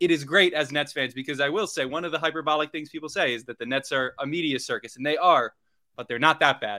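Talking at a very fast pace, a man uses a fairly high pitch with ordinary variation. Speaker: podcast co-host. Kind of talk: casual sports talk podcast.

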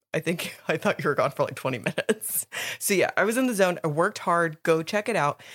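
Over a silent background in a very clean recording, a woman at medium pitch speaks in an animated tone with lively intonation. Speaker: podcast co-host. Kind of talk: casual chat.

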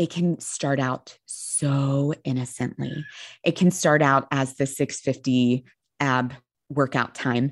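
A woman speaks at a very slow pace in a very deep, low voice with fairly even intonation. The background is quiet. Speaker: eating disorder therapist. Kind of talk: casual interview.

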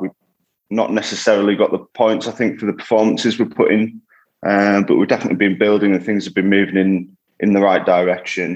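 A man with a very deep, low pitch talks at a very fast pace. His intonation is monotone and flat over a quiet background. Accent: northern English. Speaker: rugby league player. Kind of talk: interview.

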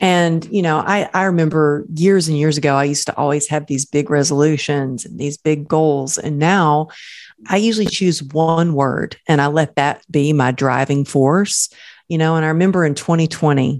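In an American accent, a woman with a very deep, low pitch speaks at a moderate pace with fairly even intonation. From Texas. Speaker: motivational speaker. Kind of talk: casual chat.

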